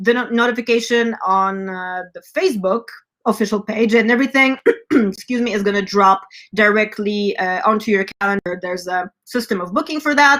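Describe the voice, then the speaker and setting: Speaking with an American accent, a woman keeps a moderate pace. Her pitch is fairly high with ordinary variation. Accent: slight German accent at times. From California. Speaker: rock band front woman and show host. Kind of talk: live stream announcements. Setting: online live stream. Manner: animated, many filler words.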